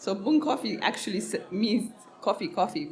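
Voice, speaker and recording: A woman's medium-pitched voice amid audible room echo and noticeable background noise. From Ethiopia (Harar, east). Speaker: coffee business owner. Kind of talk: podcast interview. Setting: live event.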